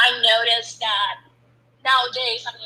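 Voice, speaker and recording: Speech moves at a moderate pace. It comes with a Spanish accent. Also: woman. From Colombia. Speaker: startup founder. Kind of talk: casual interview.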